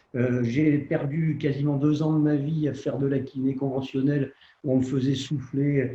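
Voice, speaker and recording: The man's voice is fairly high in pitch and somewhat breathy, moving at a fairly slow pace with a monotone, flat intonation and very even loudness. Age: 70s. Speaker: surgeon and patient. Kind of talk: testimony.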